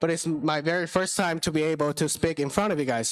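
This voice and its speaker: Over a very clean recording with a silent background, a man speaks at a fairly high pitch with fairly even intonation. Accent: Chinese. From China. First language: Chinese. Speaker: business founder and ham radio operator. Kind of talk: conference talk. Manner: halting.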